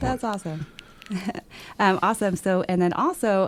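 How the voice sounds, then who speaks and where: A woman with an ordinary speaking voice goes along at a fairly quick clip, her pitch rising and falling in the usual way. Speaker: radio host. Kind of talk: radio interview questions.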